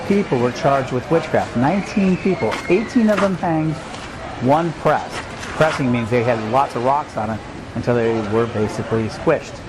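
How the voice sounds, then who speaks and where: Noticeable background noise surrounds a man talking at a fairly quick pace. His intonation is lively. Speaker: roving reporter. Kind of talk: travel report narration. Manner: casual, hesitant.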